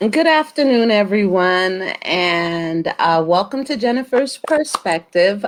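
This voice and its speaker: A woman at medium pitch, speaking at a very slow pace with very wide pitch swings and hardly any pauses. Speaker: talk show host. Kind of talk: show introduction.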